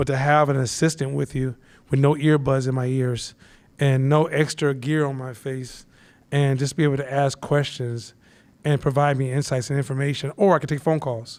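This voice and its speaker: A man speaks loudly at a moderate pace in a flat monotone. The recording is very clean, with a silent background. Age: 50s. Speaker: instructor. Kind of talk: live class talk.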